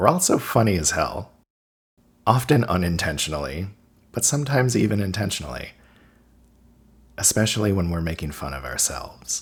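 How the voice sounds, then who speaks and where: A man talks at a fairly quick pace but leaves long, frequent pauses. His fairly low voice has vocal fry and very wide pitch swings. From Cape Breton, Nova Scotia. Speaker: video essayist. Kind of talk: scripted narration.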